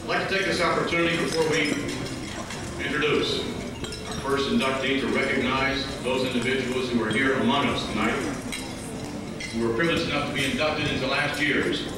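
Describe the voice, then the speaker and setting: Loud background noise and audible room echo surround a man's voice. He talks at a fairly quick pace with ordinary pitch variation. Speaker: ceremony host. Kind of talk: formal speech. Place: hall.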